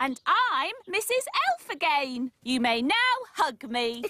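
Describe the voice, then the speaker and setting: A female-sounding cartoonish character voice, pitched high. The pace is fairly slow. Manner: prim, precise.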